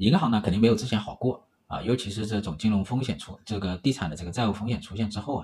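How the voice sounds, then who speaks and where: Very fast and somewhat breathy, a man speaks at a fairly low pitch with ordinary pitch variation. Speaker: economics livestream host. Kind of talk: livestream commentary. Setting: livestream. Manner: filler-heavy, hesitant.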